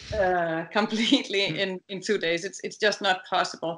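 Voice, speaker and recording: A woman speaks with a Danish accent and fairly even intonation. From Denmark. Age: 50s. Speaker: dressage rider and trainer; trainer. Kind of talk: interview. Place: home room. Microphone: video call.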